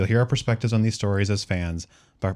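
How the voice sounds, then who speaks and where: Fairly low in pitch, a man talks with a Minnesota accent and ordinary pitch variation. The recording is very clean, with a silent background. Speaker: podcast co-host. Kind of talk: scripted intro.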